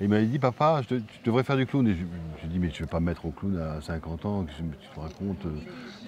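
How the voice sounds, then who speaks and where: A man talking very fast with lively intonation. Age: 50s. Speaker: film director and actor. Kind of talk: interview. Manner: halting, with repetitions.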